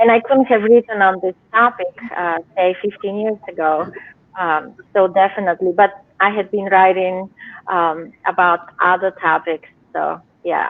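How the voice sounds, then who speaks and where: A woman with a Bulgarian accent speaks at a fairly slow pace, her medium pitch kept to fairly even intonation. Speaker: novelist. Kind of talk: interview. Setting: live video show. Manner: hesitant, many fillers.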